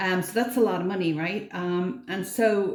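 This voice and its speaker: A woman speaks at a medium pitch and moderate pace. Her voice is somewhat breathy, with audible room echo. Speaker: frugal living vlogger. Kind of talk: casual vlog talk to camera. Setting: bathroom at home. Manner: quiet.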